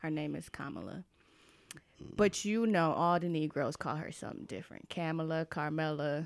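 Recorded very cleanly against a silent background, a woman with a very deep, low pitch speaks at a moderate pace. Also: ordinary pitch variation. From Atlanta, US South. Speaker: podcast co-host. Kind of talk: casual chat. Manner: animated.

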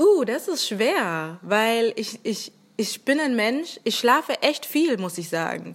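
A woman's fairly high voice, very slow, with very wide pitch swings. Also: very clean recording, silent background. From Germany, Rhineland-Palatinate. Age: 20s. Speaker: podcaster. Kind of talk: casual chat. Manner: hesitant, many fillers.

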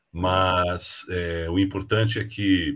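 The recording is very clean, with a silent background. The voice is somewhat breathy and has ordinary pitch variation. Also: man. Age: 60s. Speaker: leadership mentor and speaker. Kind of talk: casual interview.

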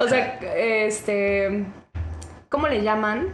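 A woman's fairly high voice with audible room echo. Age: 20s. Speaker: podcast guest, literature graduate. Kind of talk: casual chat.

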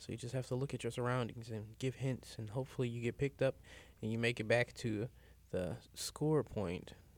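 A man with a St. Louis accent, medium pitch and fairly even intonation, at a fairly quick pace. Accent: St. Louis Midwestern US. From St. Louis, Missouri. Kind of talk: casual chat.

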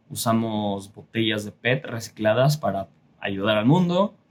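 A man speaks at a fairly slow pace with a Mexico City accent. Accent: Mexican Spanish, Mexico City (chilango). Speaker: artist and podcaster. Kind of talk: casual monologue. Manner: casual, frequent filler pauses.

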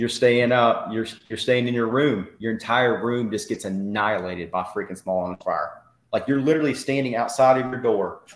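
Speaking with an East Tennessee accent, a man keeps a moderate pace and a medium pitch with ordinary pitch variation. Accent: Southern US (East Tennessee). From Tennessee–Georgia state line, US South. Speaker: army veteran. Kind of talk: interview testimony.

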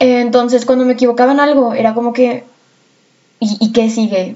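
This woman speaks with a Mexican accent at a moderate pace. Her pitch is fairly high. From Mexico. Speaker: podcast host and student. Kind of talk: casual monologue. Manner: chatty, with fillers and laughter.

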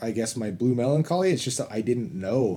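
A man's dark, mellow voice at medium pitch. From Utah, US (Orem). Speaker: host's husband. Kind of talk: casual chat.

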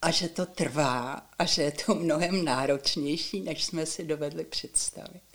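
The delivery is fairly slow, with ordinary pitch variation and hardly any pauses. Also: woman, very deep, low pitch for a woman. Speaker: retired teacher and education reformer. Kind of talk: interview.

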